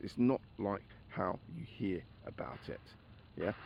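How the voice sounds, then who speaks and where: A man speaks with a London accent and very wide pitch swings. Vocal fry runs through his voice. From England, grew up in Barkingside, east London. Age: 60s. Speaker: former children's home resident and army veteran. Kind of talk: personal reminiscence monologue. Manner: conversational, hesitant with fillers.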